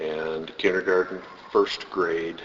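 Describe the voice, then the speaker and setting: A man with an American accent talks at a very slow pace. Background noise is noticeable. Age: 60s. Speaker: interviewee, former student. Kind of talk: oral history interview. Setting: school building foyer.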